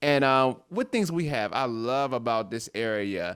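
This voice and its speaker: A man speaks at a fairly slow pace in a fairly high pitch, with an animated tone and lively intonation. The recording is very clean, with a silent background. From US, Washington DC. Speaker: guest performer on children's theatre show. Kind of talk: casual chat.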